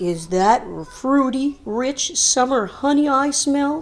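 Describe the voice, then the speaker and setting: A put-on character voice from a woman, very slow in pace and high in pitch. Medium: read story.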